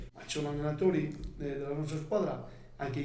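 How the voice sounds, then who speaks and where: The speech moves at a fairly quick pace with ordinary pitch variation. Noticeable background noise and audible room echo are present. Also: man. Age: 60s. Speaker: basketball coach. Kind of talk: podcast interview. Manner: halting, repetitive.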